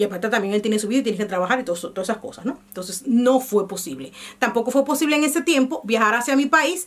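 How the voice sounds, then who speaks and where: Very fast, a woman speaks with lively intonation. Her pitch is fairly high. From Dominican Republic. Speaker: vlogger. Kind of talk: casual vlog monologue.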